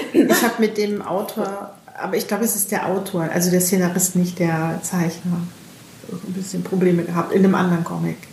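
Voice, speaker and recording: A woman speaks at a fairly quick pace and medium pitch, in a monotone, flat intonation. There is audible room echo along with noticeable background noise. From northern Germany, Bremen. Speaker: podcast host. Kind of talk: casual chat. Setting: book fair.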